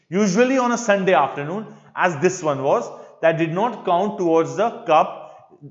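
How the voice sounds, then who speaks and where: Audible room echo surrounds a man speaking in a high pitch with lively intonation. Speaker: English teacher. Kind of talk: lecture. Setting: live online class. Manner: slow.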